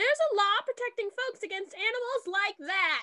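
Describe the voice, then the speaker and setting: A woman does a put-on character voice, squeaky and extremely high in pitch. She speaks at a moderate pace in a dry, close sound with no echo. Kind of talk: 1950s radio acting. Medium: audio drama. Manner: cold, self-righteous.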